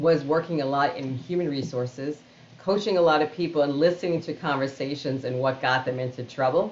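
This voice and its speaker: In a New York accent, a woman speaks with a very deep, low pitch and ordinary pitch variation. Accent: New York City. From Queens, New York City. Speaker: organizational storyteller and keynote speaker. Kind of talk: interview answer.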